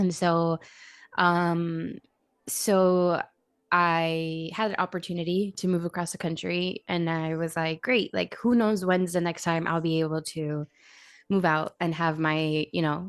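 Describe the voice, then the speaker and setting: With an American accent and an unremarkable speaking voice, a woman talks at a fairly low pitch with fairly even intonation against a quiet background. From Miami, Florida. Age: 20s. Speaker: streamer and content creator. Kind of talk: casual chat.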